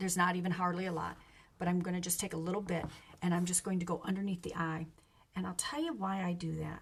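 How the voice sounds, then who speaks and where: The voice is somewhat breathy and monotone, with flat intonation at a very fast pace. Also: woman, fairly low pitch for a woman. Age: 60s. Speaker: makeup seller / beauty vlogger. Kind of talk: casual get-ready-with-me tutorial. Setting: live stream at home. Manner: casual, conversational with fillers.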